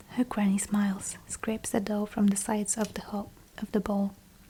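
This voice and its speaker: Soft-spoken whispering amid noticeable background noise. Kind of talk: audiobook-style reading of a novel, ASMR. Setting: quiet room with fireplace sounds in the background. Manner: soft-spoken, whispered.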